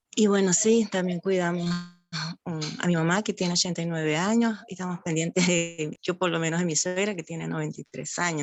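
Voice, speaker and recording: In a fairly low pitch, a woman speaks at a moderate pace with fairly even intonation. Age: 60s. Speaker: talk attendee. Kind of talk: open discussion in online talk. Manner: halting.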